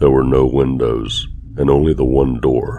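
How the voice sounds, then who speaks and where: Noticeable background noise sits behind a man with a very deep, low pitch. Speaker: horror story narrator. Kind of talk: horror story reading.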